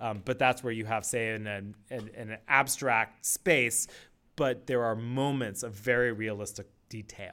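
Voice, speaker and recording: A man with an American accent speaks at a medium pitch in a bright, sharp tone. The recording is very clean, with a silent background. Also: fairly slow pace. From US West Coast, Palo Alto, California. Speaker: set designer. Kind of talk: interview. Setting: studio.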